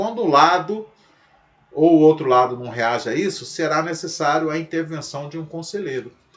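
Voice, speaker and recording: A man's voice over noticeable background noise. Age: 60s. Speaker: pastor. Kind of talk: lecture.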